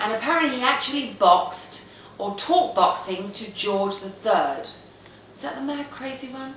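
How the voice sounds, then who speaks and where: A woman with a London accent and fairly high pitch at a moderate pace, with very wide pitch swings and big swings in loudness, plus noticeable background noise and audible room echo. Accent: northwest London English. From England, northwest London. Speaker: video blogger. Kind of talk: casual monologue. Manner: halting, many fillers.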